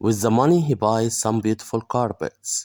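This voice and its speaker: In a very clean recording with a silent background and a dry, close sound with no echo, a man with an Egyptian accent speaks in a medium pitch with a dark, mellow tone and ordinary pitch variation. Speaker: English teacher. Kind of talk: bilingual story reading with translation.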